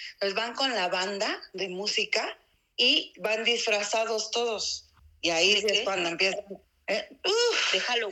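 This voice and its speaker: A woman with a fairly high pitch speaks at a fairly slow pace. Her intonation is fairly even. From Mexico, Oaxaca city. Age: 40s. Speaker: interviewee on local traditions. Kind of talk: casual interview. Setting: remote call. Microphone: poor audio.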